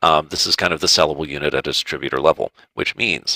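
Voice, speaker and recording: A man with an American accent talks at a fairly quick pace, his bright, sharp tone edged with vocal fry in a dry, close sound with no echo. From US South, Georgia (Marietta). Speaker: food product consultant. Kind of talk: online presentation. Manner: fast.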